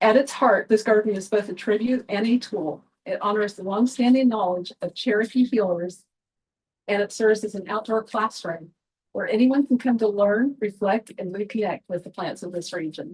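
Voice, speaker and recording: A woman speaks at a moderate pace in a fairly high, somewhat breathy voice with ordinary pitch variation. Her loudness swings widely. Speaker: volunteer master gardener. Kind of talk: public talk reading a prepared speech. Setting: outdoors in a garden with a small audience. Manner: halting.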